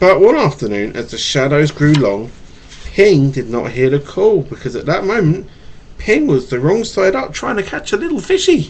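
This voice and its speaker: Noticeable background noise behind a man whose pitch swings very widely. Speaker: father. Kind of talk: bedtime story reading to a child. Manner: stutters.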